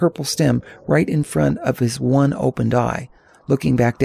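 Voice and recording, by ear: Someone reads aloud in a natural voice.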